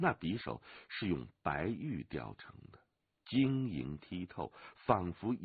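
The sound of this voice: An unforced reading voice over a quiet background.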